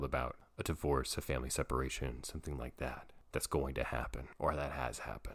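Vocal fry runs through a man's very fast speech. The recording is very clean, with a silent background. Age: 30s. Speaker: podcast host and play therapist. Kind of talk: solo podcast monologue.

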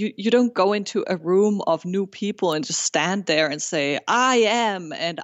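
With a German accent, a woman speaks at a fairly slow pace. Her pitch is medium, with ordinary variation. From Germany. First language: German and Spanish. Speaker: food blogger. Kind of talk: casual interview.

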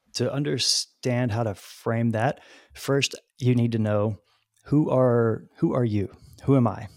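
A man with an American accent and an ordinary speaking voice, medium in pitch, at a fairly slow pace with fairly even intonation. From Texas, small town. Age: 40s. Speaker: spiritual speaker. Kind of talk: casual chat.

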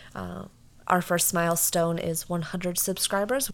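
Here is a woman with a normal speaking voice, fairly low in pitch, with fairly even intonation. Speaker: true crime podcast co-host. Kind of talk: casual chat.

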